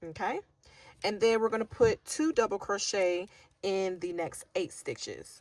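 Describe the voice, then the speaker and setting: A woman with an ordinary speaking voice talks at a fairly slow pace. Her pitch is medium, with ordinary variation. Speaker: crochet teacher. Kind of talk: tutorial.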